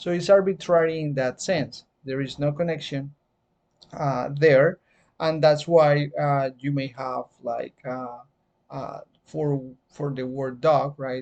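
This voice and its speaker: The speaker has a Spanish accent. The pace is very slow. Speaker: teacher. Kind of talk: lecture. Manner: hesitant, many fillers.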